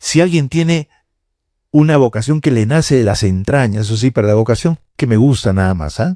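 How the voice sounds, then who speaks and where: His dark, mellow tone sits at medium pitch, and the man's lively intonation comes through a dry, close, echo-free sound on a very clean recording with a silent background. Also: moderate pace. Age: 70s. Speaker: cardinal and priest giving a lecture. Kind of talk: lecture to university students. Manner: conversational, with hesitations.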